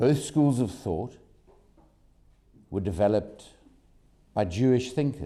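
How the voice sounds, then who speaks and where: A man's dark, mellow voice with vocal fry, amid audible room echo. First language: not German; English speaker. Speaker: activist speaker at press conference. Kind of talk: press conference statement. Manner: slow.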